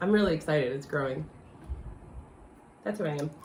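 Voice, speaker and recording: A woman speaks with a very deep, low pitch. Her pitch varies in an ordinary way. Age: 40s. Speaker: life coach. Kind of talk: casual chat.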